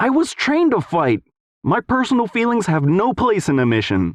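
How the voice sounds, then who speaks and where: A put-on character voice, fairly high in pitch, moves along at a moderate pace. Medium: read story.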